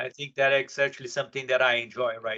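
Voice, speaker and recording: With a strong Brazilian accent, a man speaks in a bright, sharp tone and monotone, flat intonation. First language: Portuguese. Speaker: software professional, panelist. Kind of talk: panel discussion.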